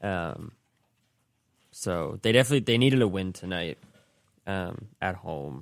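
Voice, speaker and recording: A man speaks with a very deep, low pitch. His pitch varies an ordinary amount. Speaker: college radio co-host.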